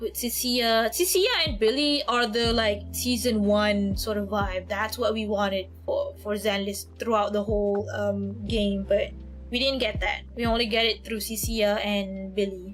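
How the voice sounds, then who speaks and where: A woman's voice with audible room echo and music in the background. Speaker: art streamer. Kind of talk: casual livestream chat. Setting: livestream while drawing. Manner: fast, repetitive with self-corrections.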